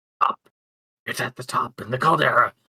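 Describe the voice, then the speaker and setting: Putting on a raspy character voice, a man talks at a fairly quick pace in dry, close sound with no echo. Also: fairly high pitch for a man. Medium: actual play. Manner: frightened, quick to answer.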